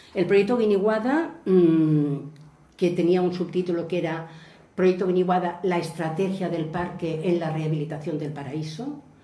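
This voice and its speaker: Audible room echo and noticeable background noise surround a woman speaking at a fairly low pitch. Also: ordinary pitch variation, moderate pace. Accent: Spanish. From Spain (mainland). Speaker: landscape planning specialist. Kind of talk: lecture. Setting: museum lecture with audience.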